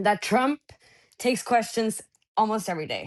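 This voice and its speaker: A woman with a Norwegian accent speaks at a fairly high pitch with ordinary pitch variation. The background is quiet. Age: 20s. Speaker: journalist. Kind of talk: interview. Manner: halting.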